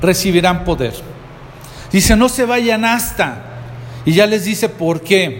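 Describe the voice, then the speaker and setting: Over noticeable background noise and audible room echo, a man speaks very slowly at a high pitch with lively intonation and long, frequent pauses. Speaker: pastor. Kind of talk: sermon.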